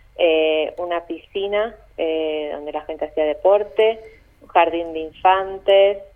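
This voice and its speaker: A woman's fairly low voice at a very slow pace, with fairly even intonation. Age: 30s. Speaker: tour guide. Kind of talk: phone interview. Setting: phone call.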